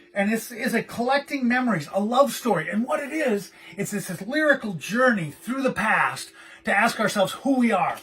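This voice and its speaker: Loud and animated, a man with a high pitch for a man speaks at a moderate pace with lively intonation over noticeable background noise. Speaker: collector and gallery co-owner. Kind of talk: casual video monologue.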